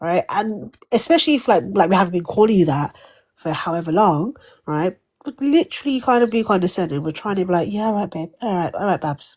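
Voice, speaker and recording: The speaker talks at a fairly quick pace in a British accent. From Britain. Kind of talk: casual chat.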